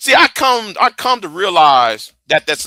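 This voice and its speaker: A raised, projected voice with a bright, sharp tone, at a fairly slow pace, in a dry, close sound with no echo. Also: man, very clean recording, silent background. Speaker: live streamer. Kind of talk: heated debate. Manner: repetitive, stammering; heated, confrontational.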